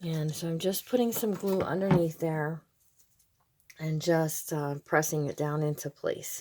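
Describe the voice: A woman's low-pitched voice, dark and mellow in tone, with fairly even intonation at a fairly slow pace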